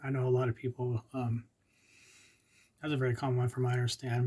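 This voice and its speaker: Somewhat breathy and dark, mellow in tone, a man of medium pitch talks at a very fast pace. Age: 50s. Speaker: epilepsy vlogger. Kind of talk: informational monologue. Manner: halting.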